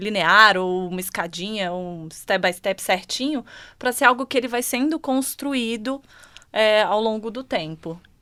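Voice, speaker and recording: A woman's fairly high voice in a Brasília accent, bright and sharp in tone, with lively intonation at a fairly slow pace, on a very clean recording with a silent background. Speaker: HR manager. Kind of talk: panel discussion.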